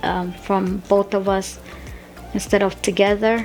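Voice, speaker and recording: The pace is fairly slow. Music can be heard in the background. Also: woman. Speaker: budgeting vlogger. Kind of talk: casual budgeting tutorial. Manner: stuttering, voice cracks.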